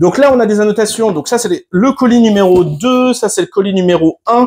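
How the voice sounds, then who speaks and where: This clip features a man talking. The rise and fall of his pitch is ordinary. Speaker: YouTuber reviewing solar equipment. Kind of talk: product unboxing tutorial. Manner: fast; hesitant fillers.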